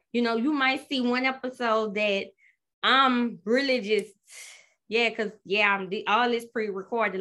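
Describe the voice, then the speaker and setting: In a very clean recording with a silent background, a woman talks at a fairly quick pace in an animated, bright, sharp tone, her fairly high pitch showing ordinary variation. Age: 30s. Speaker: podcast host. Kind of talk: casual solo talk, first episode intro. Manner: animated, chatty; nervous, excitable.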